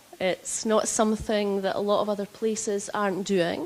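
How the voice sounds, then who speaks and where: A woman with a strong Scottish accent and a fairly high pitch. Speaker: health executive. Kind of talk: conference presentation. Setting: stage with audience. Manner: deliberately slower.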